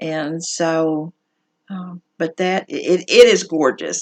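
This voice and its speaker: With a Southern US accent, a woman speaks at a very deep, low pitch with ordinary pitch variation, in a dry, close sound with no echo. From US South. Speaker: needlework shop owner. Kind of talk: casual show-and-tell video. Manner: casual, many fillers.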